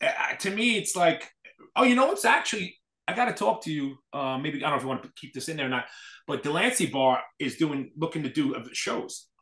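In an American accent, a man with a fairly high pitch talks at a fairly quick pace with big swings in loudness, in a room with audible echo and a quiet background. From New York City. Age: 40s. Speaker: hardcore scene event promoter. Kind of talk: casual chat. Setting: video call. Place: home room. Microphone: video call.

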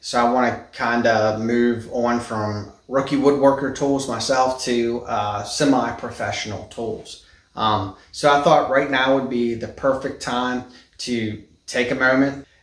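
Fairly slow delivery with fairly even intonation and audible room echo. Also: man. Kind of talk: casual vlog chat. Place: garage. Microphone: phone near.

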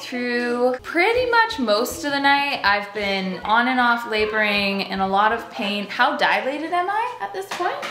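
A woman speaks at a high pitch. Light background noise and audible room echo are present. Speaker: pregnant vlogger. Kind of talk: casual vlog chat. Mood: playful, joking. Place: kitchen.

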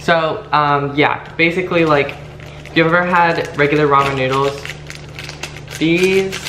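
At a fairly slow pace, a man talks with very even loudness and fairly even intonation over noticeable background noise. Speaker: vlogger. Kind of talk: casual vlog chat. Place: home room. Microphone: camera far.

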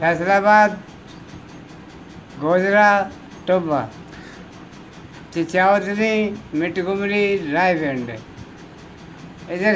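Light background noise sits behind a man with a high pitch and ordinary pitch variation. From India, Panipat. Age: 80s+. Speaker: Partition migrant, former cattle and fish trader. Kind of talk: interview answer. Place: home room. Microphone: phone near.

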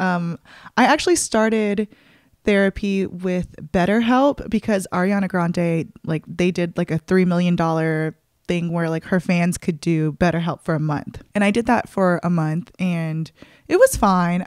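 The woman's voice sits at a fairly low pitch with ordinary pitch variation. The sound is dry with no echo, over a quiet background. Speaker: podcast host. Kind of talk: casual solo podcast update. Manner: fast talker; animated, excitable. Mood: relaxed, candid, personal. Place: home room. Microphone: studio mic.

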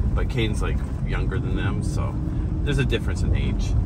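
Loud background noise surrounds this man's speech. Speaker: travel vlogger driving. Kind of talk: casual vlog chat. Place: car. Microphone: camera far.

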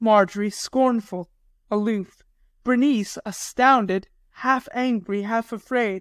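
A voice reading aloud in a natural voice

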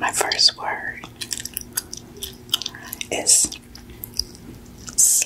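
A woman's voice against loud background noise. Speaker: ASMR creator. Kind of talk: ASMR trigger words.

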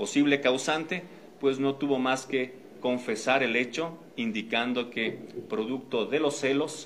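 A man speaks at a very slow pace over light background noise. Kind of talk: official press statement. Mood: formal, serious. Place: meeting room.

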